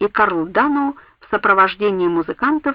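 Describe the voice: The delivery is plain reading aloud. Its intonation stays lively throughout.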